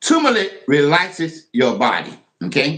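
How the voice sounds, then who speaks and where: Very wide swings of pitch in a male voice. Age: 70s. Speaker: livestreamer. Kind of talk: casual livestream demo. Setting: home kitchen. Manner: repetitive, conversational.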